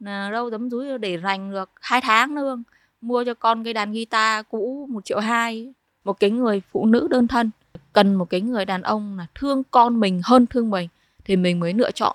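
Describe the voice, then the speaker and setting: A normal speaking voice from a woman, fairly high in pitch with ordinary pitch variation, at a moderate pace on a very clean recording with a silent background. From Vietnam, Hai Phong (northern). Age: 30s. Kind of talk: personal testimony.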